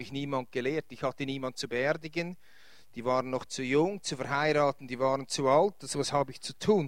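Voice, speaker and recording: A man at a fairly high pitch and fairly quick pace, fairly even intonation, big swings in loudness. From Switzerland, Winterthur area. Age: 50s. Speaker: pastor. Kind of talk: lecture. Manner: halting.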